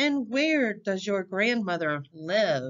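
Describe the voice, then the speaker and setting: A female-sounding, put-on character voice at a middle pitch. She speaks at a very slow pace. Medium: read story. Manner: sly, wheedling.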